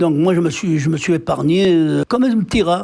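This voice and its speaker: There is noticeable background noise as a man with a high pitch speaks at a moderate pace, using ordinary pitch variation. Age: 80s+. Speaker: war veteran, former deportee. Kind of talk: interview answer. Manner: hesitant.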